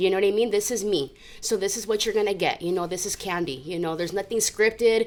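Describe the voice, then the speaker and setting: Here a woman talks at a very fast pace with an American accent. Her pitch is medium. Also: ordinary pitch variation. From Southern California. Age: 30s. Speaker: recovering addict sharing her story. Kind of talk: testimony.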